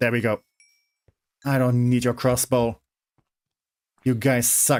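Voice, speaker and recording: A man with a German accent speaks very slowly at a medium pitch. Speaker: streamer. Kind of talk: live gaming stream commentary. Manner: hesitant, many fillers and restarts.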